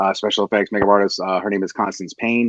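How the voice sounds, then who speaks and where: Very fast, fairly low male speech with fairly even intonation. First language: not English. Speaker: podcast host. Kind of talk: casual chat.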